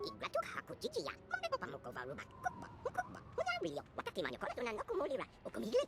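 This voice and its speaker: A put-on character voice races along at a very fast pace with hardly any pauses. Loud background noise runs underneath. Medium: video game. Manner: rapid, rhythmic alien speech.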